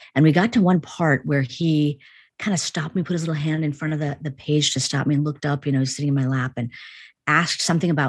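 A woman with a Chicago accent speaks at a fairly quick pace, her pitch very deep and low. Her pitch varies in an ordinary way against a quiet background. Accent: American, Chicago. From US Midwest (Chicago), Indian family. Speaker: psychology professor. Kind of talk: interview.

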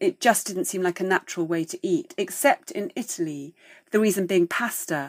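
A woman with an ordinary speaking voice talks at a medium pitch and moderate pace, with lively intonation. The sound is dry and close with no echo, on a very clean recording with a silent background. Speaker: food writer and historian. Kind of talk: interview, explanatory talk.

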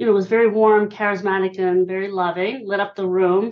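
A woman with an American accent speaks at a fairly quick pace in a medium pitch, with fairly even intonation and an ordinary speaking voice. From Pennsylvania (Hershey). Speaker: author and listening expert. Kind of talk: interview.

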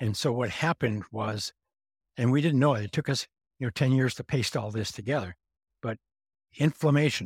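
Recorded very cleanly with a silent background and a dry, close sound free of echo, a man talks at a moderate pace in a somewhat breathy voice, leaving long, frequent pauses. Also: medium pitch for a man, ordinary pitch variation. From Montana. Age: 70s. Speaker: grounding company founder. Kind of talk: interview.

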